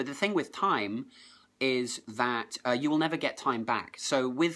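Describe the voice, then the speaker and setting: In a very clean recording over a silent background, a man talks at a medium pitch with ordinary pitch variation. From southern England. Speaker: productivity blogger. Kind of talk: live stream chat. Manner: fast.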